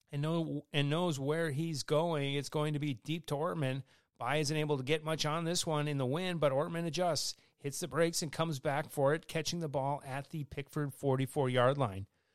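A man with an American accent, fairly high in pitch, at a moderate pace, on a very clean recording with a silent background. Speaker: high school football radio host. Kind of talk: sports commentary, play-by-play recap of a football game. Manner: animated, brisk play-by-play delivery.

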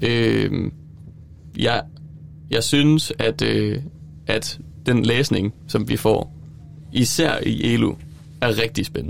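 Pausing often and at length, a man delivers his words very slowly. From Denmark, Silkeborg. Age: 20s. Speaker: student teacher. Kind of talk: casual chat. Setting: studio. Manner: halting.

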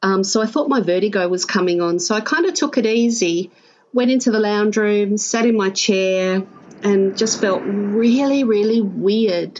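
A woman speaks with a strong Australian accent. Her pace is fairly slow. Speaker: stroke survivor guest. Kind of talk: casual interview, personal storytelling. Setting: video call, her backyard.

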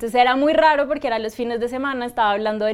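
A woman with a Bogotá accent speaks in a fairly high voice with fairly even intonation. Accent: Colombian Spanish (Bogotá). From Colombia, Bogotá. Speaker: astrologer. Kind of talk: interview.

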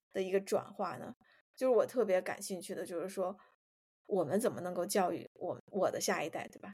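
The sound is dry and close, without echo. A woman's voice sits at a medium pitch. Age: 30s. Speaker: podcast co-host. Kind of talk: casual chat.

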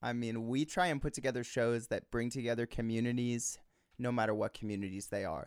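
In a very clean recording with a silent background, a man with an unremarkable speaking voice talks at a fairly quick pace, medium in pitch and with fairly even intonation. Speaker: musician and songwriter. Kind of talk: casual interview chat. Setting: home recording studio. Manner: articulate, jokey.

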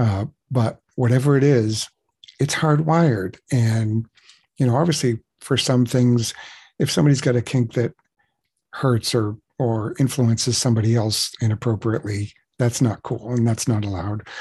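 A man's somewhat breathy, dark, mellow voice at a medium pitch, moderate pace with long, frequent pauses, ordinary pitch variation, over a quiet background. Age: 60s. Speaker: webcam performer. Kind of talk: casual interview. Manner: halting.

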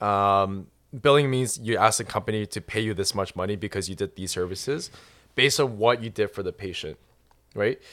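A man with an unremarkable speaking voice talks at a fairly quick pace and fairly low pitch, with ordinary pitch variation. The recording is very clean with a silent background. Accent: Canadian. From Canada. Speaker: doctor. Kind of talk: casual chat.

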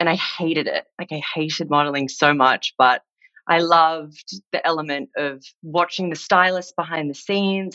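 The voice has a bright, sharp tone and ordinary pitch variation at a moderate pace. The sound is dry and close, with no echo. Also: woman. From Australia, Sydney. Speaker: stylist and creative consultant. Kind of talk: casual chat. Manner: animated.

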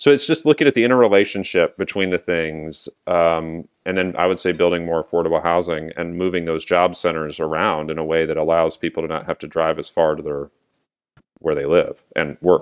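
In an American accent, the speech runs at a fairly quick pace with ordinary pitch variation on a very clean recording with a silent background. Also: man, very deep, low pitch for a man. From US West Coast (San Diego, California). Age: 40s. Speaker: county elected official. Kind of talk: interview.

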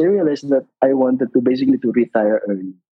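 This man talks in a Filipino accent at a medium pitch, with ordinary variation in his pitch. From Philippines, Biñan, Laguna. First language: Tagalog. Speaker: retired occupational therapist. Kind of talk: casual interview.

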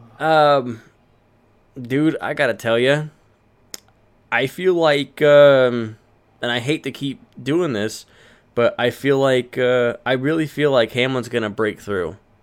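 With long, frequent pauses, a man speaks very slowly at a medium pitch and with ordinary pitch variation. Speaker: podcast host. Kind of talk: casual chat.

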